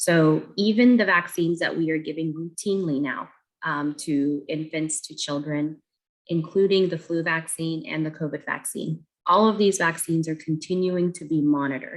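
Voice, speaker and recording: A woman talks at a moderate pace in a normal speaking voice. Her pitch is fairly low and her intonation fairly even. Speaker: pediatric doctor. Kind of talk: public health talk. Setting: video call.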